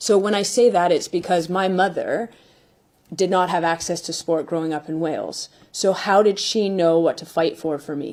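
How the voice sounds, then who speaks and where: A woman with a Canadian accent has an unremarkable speaking voice at a medium pitch, with fairly even intonation. She talks at a moderate pace, and her loudness swings widely. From Canada. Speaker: football manager. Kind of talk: press conference.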